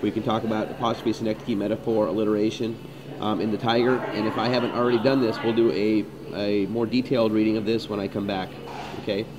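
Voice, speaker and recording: A man's voice with fairly even intonation, plus noticeable background noise and audible room echo. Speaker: high school English teacher. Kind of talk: tutorial. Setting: coffee shop screencast. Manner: fast; halting, many fillers. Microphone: poor sound quality.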